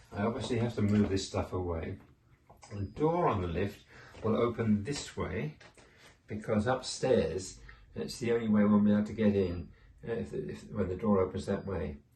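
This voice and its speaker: A man's fairly low, dark, mellow, somewhat breathy voice with long, frequent pauses. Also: ordinary pitch variation, moderate pace. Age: 80s+. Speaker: homeowner vlogger. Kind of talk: casual walkthrough narration. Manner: halting, with self-corrections.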